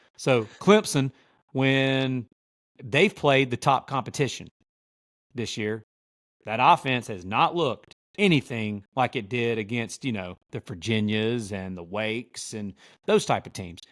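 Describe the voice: A man puts on a character voice with a drawling Southern US accent, medium in pitch with lively intonation. He goes at a fairly slow pace with long, frequent pauses. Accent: deep South.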